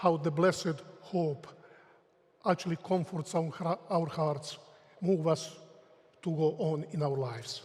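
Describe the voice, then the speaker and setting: A high-pitched man with a Croatian accent speaks at a fairly slow pace and with fairly even intonation. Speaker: theology professor. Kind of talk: lecture.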